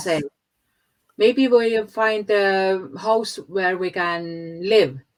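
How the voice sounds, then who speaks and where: A woman with an Estonian accent speaks at a very slow pace. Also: medium pitch for a woman, ordinary pitch variation. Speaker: podcast guest. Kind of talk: interview answer.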